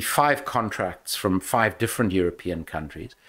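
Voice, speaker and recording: A man's very deep, low voice with a South African accent and ordinary pitch variation, on a very clean recording with a silent background. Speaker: former politician and anti-corruption investigator. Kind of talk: podcast interview.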